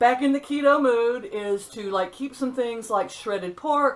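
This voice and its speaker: A woman speaks at a high pitch with lively intonation. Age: 60s. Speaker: vlogger. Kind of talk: casual vlog monologue. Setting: at home, sitting on a stool. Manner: chatty, halting with fillers.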